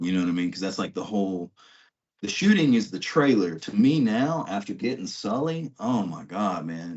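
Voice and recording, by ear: In an American accent, a man with fairly low pitch, a slightly mellow tone and a slightly husky edge speaks at a moderate pace with big pitch swings.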